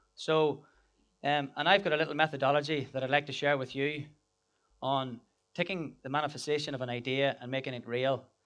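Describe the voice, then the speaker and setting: A man with an Irish accent speaks at a fairly quick pace. The background is quiet. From Ireland. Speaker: business founder and speaker. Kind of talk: conference talk. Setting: stage with audience. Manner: hesitant, many fillers and repeats.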